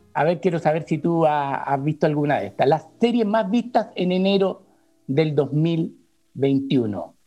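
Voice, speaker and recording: Over music in the background, a man speaks at a fairly slow pace in a fairly high pitch, his intonation lively. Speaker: TV critic and university lecturer. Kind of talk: casual chat.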